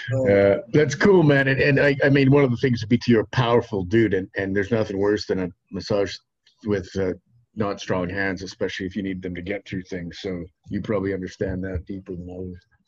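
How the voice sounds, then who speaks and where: This man speaks at a fairly quick pace in a fairly low, somewhat breathy voice with ordinary pitch variation. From Saskatchewan, Canada. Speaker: podcast host. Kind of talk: casual chat. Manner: animated.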